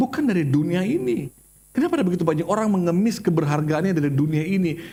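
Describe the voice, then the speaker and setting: Speaking at a fairly quick pace, a man with a high pitch uses an animated tone and lively intonation. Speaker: pastor. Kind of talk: sermon.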